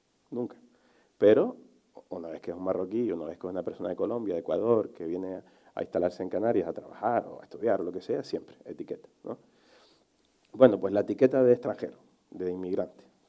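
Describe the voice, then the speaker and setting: In a quiet background, a man speaks at a very fast pace and fairly low pitch, with ordinary pitch variation and big swings in loudness. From Canary Islands, Telde; Canary Islands. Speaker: journalist; speaker. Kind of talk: panel discussion; conference talk. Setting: conference hall with audience. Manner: passionate, emphatic. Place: stage. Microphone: headset.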